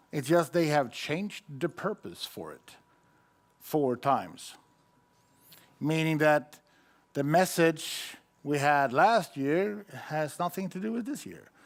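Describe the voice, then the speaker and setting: Very slow and full of long, frequent pauses, a man speaks with a Swedish accent. His fairly high voice has big swings in loudness. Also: ordinary pitch variation. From Sweden. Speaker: IT conference speaker. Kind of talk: conference talk.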